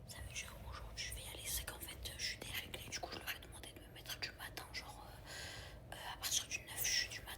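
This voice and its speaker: A woman whispering at a fairly quick pace with hardly any pauses, amid noticeable background noise and audible room echo. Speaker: vlogger. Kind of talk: vlog to camera. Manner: soft-spoken.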